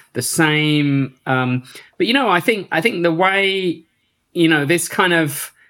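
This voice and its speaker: A man speaks at a high pitch in an English Midlands accent with a bright, sharp tone. His pace is fairly slow, his pitch variation ordinary and his loudness very even. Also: very clean recording, silent background. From Northampton area, England. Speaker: techno producer and DJ. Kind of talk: casual interview.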